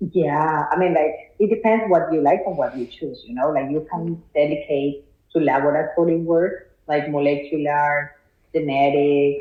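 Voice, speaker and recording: A woman speaks at a fairly slow pace. Her voice is very deep and low, with ordinary pitch variation. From Colombia. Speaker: biology PhD student. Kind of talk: interview.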